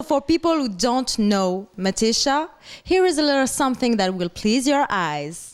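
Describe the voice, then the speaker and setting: With a French accent, a woman talks at a moderate pace and a high pitch. Her pitch swings very widely while her loudness stays very even. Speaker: interview show host. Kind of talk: interview.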